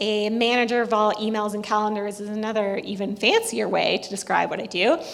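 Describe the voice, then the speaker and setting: Amid noticeable background noise and audible room echo, a woman speaks at a fairly quick pace with hardly any pauses, her fairly high pitch delivered in a monotone, flat intonation. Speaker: government data advisor, former researcher. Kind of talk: conference presentation. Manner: fast.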